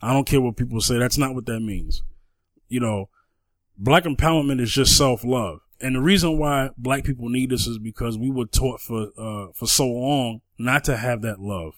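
A man with a normal speaking voice talks at a medium pitch and moderate pace with ordinary pitch variation, recorded very cleanly over a silent background. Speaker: podcast co-host. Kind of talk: casual chat.

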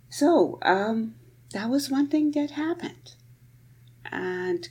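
The voice is somewhat breathy, with very wide pitch swings. It moves at a very slow pace. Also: woman. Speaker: professor of Persian presenting poetry. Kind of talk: lecture. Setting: home recording. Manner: unscripted, spontaneous.

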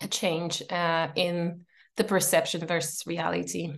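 In a Polish accent, a woman speaks at a fairly low pitch. Her pace is very slow. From Poland, Warsaw. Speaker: entrepreneur and coach. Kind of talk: casual interview. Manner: hesitant, many fillers.

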